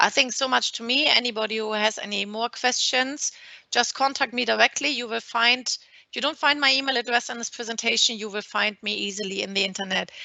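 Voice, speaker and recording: A woman with a German accent speaks at a fairly high pitch. Her pace is fairly quick and her intonation fairly even. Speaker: maritime lawyer. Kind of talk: webinar presentation. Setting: video call.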